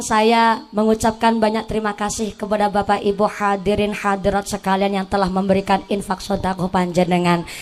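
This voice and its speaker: A woman speaks at a moderate pace in a medium pitch. Her intonation stays fairly even, with music in the background. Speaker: female Islamic preacher. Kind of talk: sermon. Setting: stage with audience, PA system.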